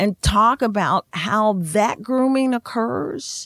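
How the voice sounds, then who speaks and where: A woman with an American accent speaks very slowly at a medium pitch with ordinary pitch variation, in a dry, close sound with no echo. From Indiana, US Midwest. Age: old. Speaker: yoga therapist and teacher. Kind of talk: interview, casual conversation. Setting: studio.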